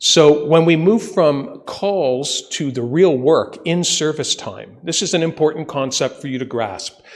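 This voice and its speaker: At a fairly slow pace with hardly any pauses, a man uses a normal speaking voice with a fairly high pitch. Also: ordinary pitch variation. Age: 60s. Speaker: ambulance service consultant. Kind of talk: presentation to council. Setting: council meeting.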